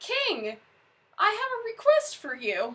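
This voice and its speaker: A woman performs a squeaky, put-on character voice at an extremely high pitch. She talks at a fairly slow pace. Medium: read story.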